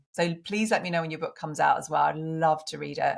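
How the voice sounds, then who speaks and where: Against a silent background in a very clean recording, a woman talks at a fairly quick pace with ordinary pitch variation. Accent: strong British. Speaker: women's coach and author. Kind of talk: interview podcast.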